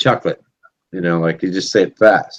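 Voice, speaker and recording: A man with an American accent speaks at a fairly low pitch with vocal fry. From Boston. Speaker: live stream host. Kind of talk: casual chat.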